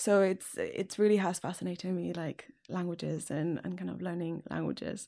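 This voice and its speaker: A woman with a Catalan accent speaks at a moderate pace in a very clean recording with a silent background. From Catalonia, Spain. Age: 20s. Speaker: single dating podcast guest. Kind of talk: casual interview.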